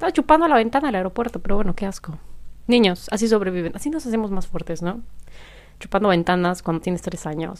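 A woman at medium pitch talks at a very fast pace with lively intonation. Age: 20s. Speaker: podcaster. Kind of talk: solo casual monologue. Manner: laughs often.

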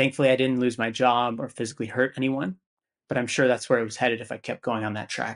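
At a fairly quick pace, a man with medium pitch and an unremarkable speaking voice talks with fairly even intonation over a quiet background. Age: 30s. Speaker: real estate investor. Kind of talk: interview conversation.

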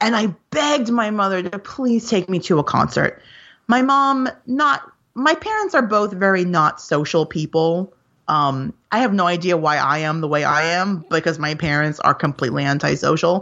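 A woman's medium-pitched voice in an American accent, with very wide pitch swings. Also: moderate pace. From New York. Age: 40s. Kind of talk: casual chat. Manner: animated.

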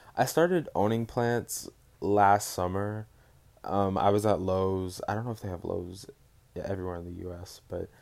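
In a normal speaking voice with an American accent, a man talks at a fairly low pitch with ordinary pitch variation, on a very clean recording with a silent background. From Dallas, Texas. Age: 20s. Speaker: podcaster, recent college graduate. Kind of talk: casual solo chat. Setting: bedroom at home. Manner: rambling, casual, filler words.

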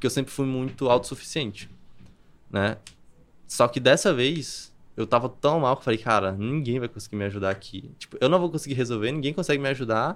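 On a very clean recording with a silent background, a man talks in an ordinary speaking voice at a moderate pace, with a medium pitch and ordinary pitch variation. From Brazil, Campina Grande, Paraíba. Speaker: copywriter. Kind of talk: podcast interview.

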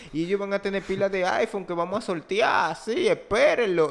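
The speaker has an animated tone, ordinary pitch variation and a moderate pace. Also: man. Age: 20s. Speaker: podcast host. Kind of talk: casual chat.

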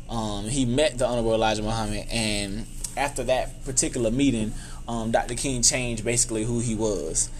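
In a room with audible echo, a man with a Southern US accent talks at a fairly quick pace and medium pitch, his intonation monotone and flat. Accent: Southern US (Georgia). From US South, Albany, Georgia. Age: 20s. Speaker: youth mentor and nonprofit founder. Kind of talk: interview conversation.

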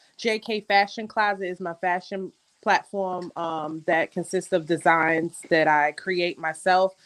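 Recorded with a dry, close sound and no echo, a woman speaks in a Queens accent with fairly even intonation. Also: medium pitch for a woman, fairly slow pace. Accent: New York City (Queens). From Jamaica, Queens, New York City. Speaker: content creator and magazine editor. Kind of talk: casual chat.

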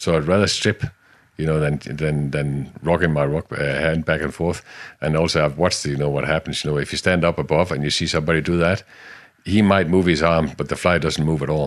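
A man's very deep, low voice with a Danish accent, fairly even in intonation, at a fairly quick pace. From Denmark, Jutland. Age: 50s. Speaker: salmon fishing guide. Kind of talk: interview. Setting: outdoors by a river.

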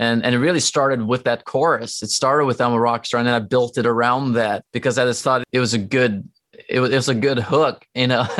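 A man's medium-pitched voice with a Norwegian accent, at a fairly quick pace with very even loudness and fairly even intonation. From Norway. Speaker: rock musician. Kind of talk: casual interview. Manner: halting.

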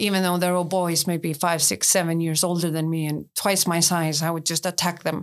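A woman with an Icelandic accent speaks at a moderate pace with hardly any pauses, in a fairly low pitch and monotone, flat intonation. The recording is very clean with a silent background. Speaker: tour guide. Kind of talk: interview.

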